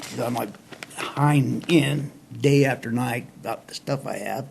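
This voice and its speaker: A man with an American accent speaks at a medium pitch and with fairly even intonation, over noticeable background noise. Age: 60s. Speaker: show host telling life stories. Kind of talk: casual storytelling monologue. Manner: folksy, relaxed.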